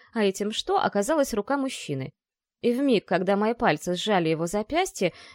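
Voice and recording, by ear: Someone reads aloud in a natural voice with lively intonation over a quiet background.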